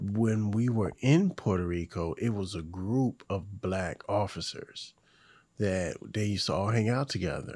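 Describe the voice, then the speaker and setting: A man with an American accent and a plain, everyday voice, fairly low in pitch with ordinary pitch variation, at a fairly slow pace, very cleanly recorded against a silent background. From Hampton Roads, Virginia, US. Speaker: podcast host. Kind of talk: casual chat.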